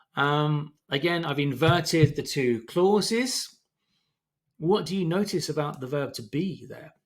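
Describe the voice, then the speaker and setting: A man talks at a fairly slow pace in a plain, everyday voice, his pitch fairly high with ordinary variation. His loudness swings widely. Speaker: English teacher. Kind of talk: tutorial.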